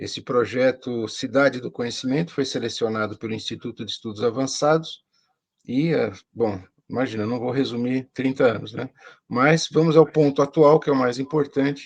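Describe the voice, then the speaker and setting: A man with a normal speaking voice keeps a moderate pace, a medium pitch and ordinary pitch variation. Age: 60s. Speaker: professor. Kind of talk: interview.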